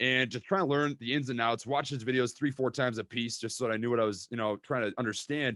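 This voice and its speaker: Speaking with a Minnesota accent in an animated tone, a man with a medium-pitched voice and ordinary pitch variation barely pauses, recorded with a dry, close sound and no echo. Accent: Minnesota accent, drawn-out vowels. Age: 20s. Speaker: stock trading YouTuber. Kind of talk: casual interview chat. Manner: animated, repeats words.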